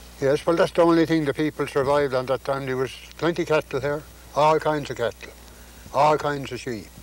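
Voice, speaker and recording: Over noticeable background noise, a man with a Newfoundland accent talks at a fairly high pitch with fairly even intonation. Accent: Newfoundland Irish-like. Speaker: farmer. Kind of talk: interview answer.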